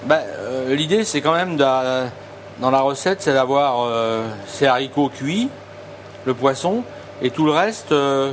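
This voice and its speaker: A man talks at a very slow pace with a medium pitch and ordinary pitch variation. Noticeable background noise runs underneath. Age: 50s. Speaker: chef. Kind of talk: casual cooking demonstration and interview. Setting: market, then restaurant kitchen. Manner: halting, many repetitions and hesitations.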